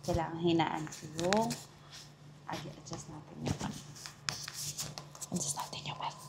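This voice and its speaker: A soft-spoken woman with a very deep, low pitch, fairly slow and fairly even, with long, frequent pauses, big swings in loudness, audible room echo and noticeable background noise. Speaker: travel vlogger. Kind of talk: casual vlog chat. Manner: soft-spoken, lowered voice.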